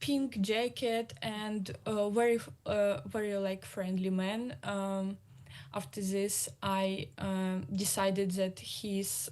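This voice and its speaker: Very slow in pace, a woman speaks at a medium pitch with ordinary pitch variation against a quiet background. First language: Russian. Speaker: exiled journalist. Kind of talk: panel discussion. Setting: video call. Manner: halting.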